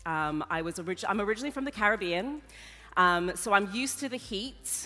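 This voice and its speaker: A woman's medium-pitched voice, bright and sharp in tone, with lively intonation at a moderate pace. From Papua New Guinea. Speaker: event host, conference moderator. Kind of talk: conference opening address. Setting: stage with audience. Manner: casual, lively.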